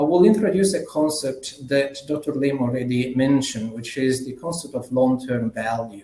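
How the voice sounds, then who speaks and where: A man speaks with an Italian accent at a medium pitch and a fairly quick pace, with ordinary pitch variation. Noticeable background noise runs beneath him. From Italy. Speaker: management consultant. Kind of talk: conference keynote presentation. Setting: conference plenary session.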